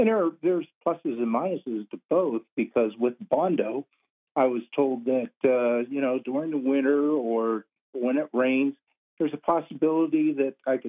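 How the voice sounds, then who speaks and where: A man with an American accent has a plain, everyday voice at a medium pitch with ordinary pitch variation. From Arizona, US Southwest. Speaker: caller. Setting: phone call.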